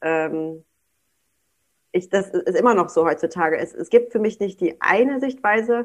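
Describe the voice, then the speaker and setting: A woman's medium-pitched voice, fairly slow and full of long, frequent pauses, with lively intonation. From Germany, North Rhine-Westphalia. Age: 20s. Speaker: daycare director. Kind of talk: casual interview chat.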